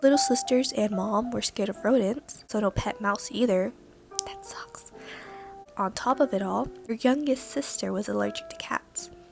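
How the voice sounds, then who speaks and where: Soft-spoken and relaxed, a woman with a fairly high pitch talks at a moderate pace with lively intonation while music plays in the background. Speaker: amateur reader practicing reading aloud. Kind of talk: casual amateur reading of a fanfic to the audience. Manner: soft-spoken, relaxed, with some stuttering.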